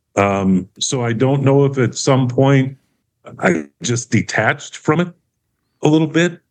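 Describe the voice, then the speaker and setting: A man with a plain, everyday voice talks at a fairly slow pace, his medium pitch carried by lively intonation. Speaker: counseling client. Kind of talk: counseling session.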